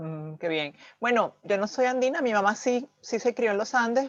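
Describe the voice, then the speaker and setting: Speaking at a moderate pace, a woman with a plain, everyday voice sits at a fairly high pitch. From Venezuela. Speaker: channel host. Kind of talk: interview conversation.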